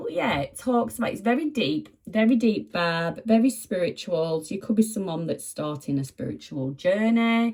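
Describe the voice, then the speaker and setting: A woman with a medium pitch and a somewhat breathy voice speaks at a moderate pace with hardly any pauses, her pitch swinging very widely. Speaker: tarot reader. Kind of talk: tarot reading. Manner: animated.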